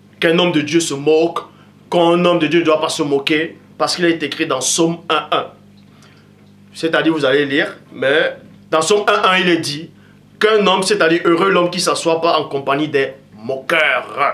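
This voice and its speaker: Speaking at a moderate pace with long, frequent pauses, a man uses a high voice against noticeable background noise. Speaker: preacher. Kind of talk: sermon. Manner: loud; animated.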